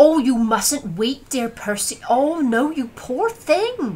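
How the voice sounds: In a put-on character voice, a female-sounding speaker talks very slowly at a high pitch for a woman.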